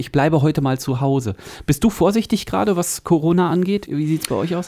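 The voice has a dark, mellow tone and lively intonation. It moves at a very fast pace. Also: man. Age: 40s. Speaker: podcast host. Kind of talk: casual chat. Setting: studio.

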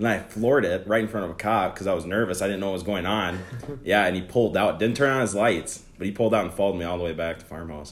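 Very fast speech in a Minnesotan accent, with ordinary pitch variation. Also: man, fairly low pitch for a man. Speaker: guest. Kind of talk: casual banter.

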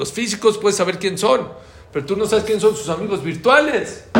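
A man speaks in an animated tone at a moderate pace, with audible room echo around him. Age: 60s. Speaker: religious teacher. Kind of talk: lecture.

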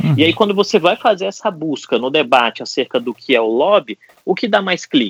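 Dry and close with no echo, a man's fairly high voice moves at a fairly quick pace with very wide pitch swings. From Brasília, Brazil. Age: 40s. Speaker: political risk consultant. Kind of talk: podcast discussion.

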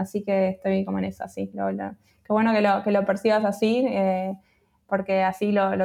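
A woman's medium-pitched voice at a moderate pace, with music in the background. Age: 30s. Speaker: freelance creative, community founder. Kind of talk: interview. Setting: remote call.

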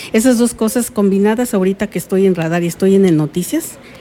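Speaking in an ordinary speaking voice, a woman keeps a medium pitch and ordinary pitch variation. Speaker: journalist. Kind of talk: interview. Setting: recorded interview.

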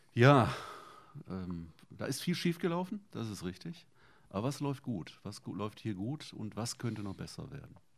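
A medium-pitched male voice with very wide pitch swings at a moderate pace, on a very clean recording with a silent background. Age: 50s. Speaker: podcast host. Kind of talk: casual interview.

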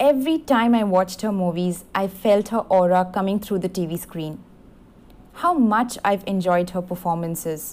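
The woman talks at a moderate pace in an unremarkable speaking voice. Her pitch is medium and shows ordinary pitch variation. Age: young. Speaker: fan contributor. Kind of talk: prepared birthday tribute monologue.

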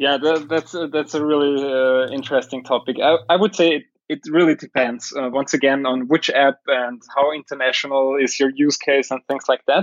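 A man with an Austrian accent speaks at a fairly high pitch. His pace is moderate and his intonation fairly even. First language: German. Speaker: tech company CEO. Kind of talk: casual interview. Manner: halting with fillers.

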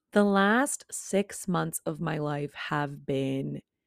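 A woman at a very slow pace, the sound dry and close with no echo, on a very clean recording with a silent background. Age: 20s. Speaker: podcast host. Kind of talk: casual monologue.

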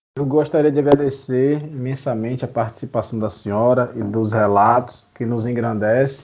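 A man talks at a fairly slow pace with ordinary pitch variation over noticeable background noise. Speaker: colleague joining interview. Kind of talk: casual interview.

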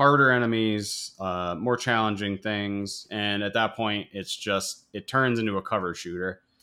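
Over a very clean recording with a silent background, a man talks at a moderate pace with an American accent. His fairly low voice has a bright, sharp tone. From United States. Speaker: video game podcast host. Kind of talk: casual chat.

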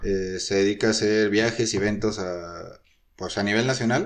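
A man's fairly low voice over a quiet background. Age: 20s. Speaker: tourism management student. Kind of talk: casual interview.

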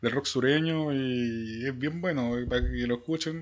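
A man speaks fairly slowly in a Chilean accent. His pitch is fairly high, with ordinary variation. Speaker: podcast co-host. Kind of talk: casual chat about music.

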